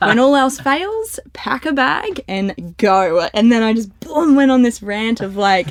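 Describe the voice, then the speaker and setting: An animated woman with an Australian accent, fairly high-pitched, with very wide pitch swings, a fairly slow pace, hardly any pauses and noticeable background noise. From North Queensland, Australia. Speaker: community manager in financial advice. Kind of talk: casual podcast interview.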